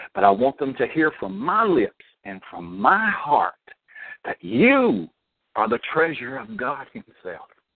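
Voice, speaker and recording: A man in a Southern US accent at a fairly slow pace, his fairly high voice animated, with very wide pitch swings and big swings in loudness. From US South, Alabama. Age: 60s. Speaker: minister and author. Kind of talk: testimony.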